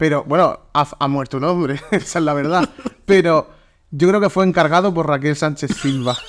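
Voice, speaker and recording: A man speaks at a moderate pace in an animated tone. His pitch varies in an ordinary way. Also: fairly high pitch for a man. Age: 20s. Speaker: podcast host. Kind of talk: casual chat.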